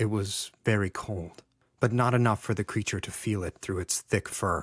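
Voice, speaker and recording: A man speaks in a normal speaking voice at a fairly low pitch and a moderate pace. His intonation is fairly even, and the sound is dry and close with no echo on a very clean recording with a silent background. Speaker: audiobook narrator. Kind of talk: audiobook fiction reading.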